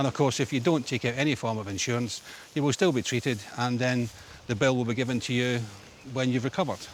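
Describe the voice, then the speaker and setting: With a Scottish accent, a man talks very fast at a medium pitch, keeping his intonation fairly even. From Scotland, Glasgow. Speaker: ambulance service owner. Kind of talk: interview. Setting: outdoors.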